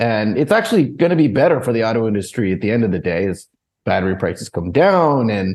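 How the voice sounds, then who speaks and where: A medium-pitched man's voice at a very fast pace, with very wide pitch swings. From United States. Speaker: equity analyst. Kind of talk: interview.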